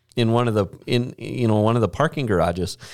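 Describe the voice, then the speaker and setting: A man speaks with an Upper Midwest US accent at a medium pitch. The recording is very clean, with a silent background. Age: 40s. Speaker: podcast host, church staff. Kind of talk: casual chat. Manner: joking, chatty.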